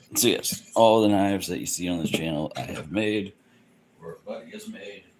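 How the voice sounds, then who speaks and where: A man speaks quietly, his loudness swinging widely. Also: moderate pace. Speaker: bladesmith livestreamer. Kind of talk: casual livestream chat. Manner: quiet talker.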